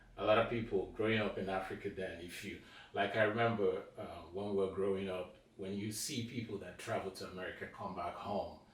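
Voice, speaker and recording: Amid noticeable background noise and audible room echo, a man speaks at a fairly quick pace with monotone, flat intonation. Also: fairly low pitch for a man. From Nigeria. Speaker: film director and producer. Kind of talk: casual interview chat.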